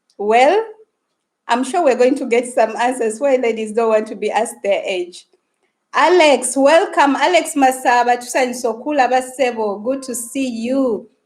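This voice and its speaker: Speaking with a Ugandan accent, a woman uses a high pitch at a moderate pace with ordinary pitch variation. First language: Luganda. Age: 30s. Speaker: YouTuber. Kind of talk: live stream chat. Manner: animated.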